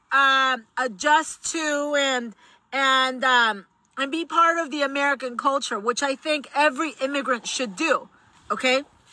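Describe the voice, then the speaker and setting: On a very clean recording with a silent background, a woman with a Spanish accent speaks fairly slowly in a high, raised, projected voice with a bright, sharp tone and fairly even intonation. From Mexico. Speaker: political commentator. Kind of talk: vlog commentary.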